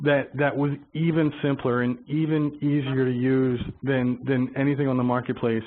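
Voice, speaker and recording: The man has a fairly high pitch and fairly even intonation. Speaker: software vendor representative. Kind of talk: webinar interview. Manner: fast; halting, many repetitions.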